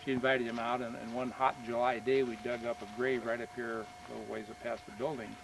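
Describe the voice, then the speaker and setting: A man with a Midwestern US accent and a medium-pitched voice speaks very fast in a monotone, flat way over noticeable background noise. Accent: US Midwest. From eastern Nebraska, Missouri Valley. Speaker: retired engineer and local farmer. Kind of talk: oral history interview. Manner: hesitant, many fillers.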